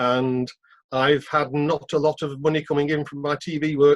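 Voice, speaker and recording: A man with a British accent, monotone and flat in intonation, in a dry, close sound with no echo. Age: 60s. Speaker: freelance TV worker. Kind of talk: meeting question.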